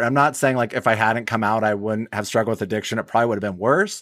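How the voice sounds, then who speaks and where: A man's bright, sharp voice with fairly even intonation. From Wyoming. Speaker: recovering alcoholic, theater owner. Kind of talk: personal recovery story interview. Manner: repetitive stammering.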